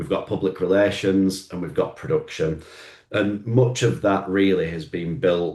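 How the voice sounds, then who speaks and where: A man speaks with a Lancashire accent. His pace is moderate. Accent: Oldham. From northern England, Oldham. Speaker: marketing agency owner. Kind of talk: business presentation.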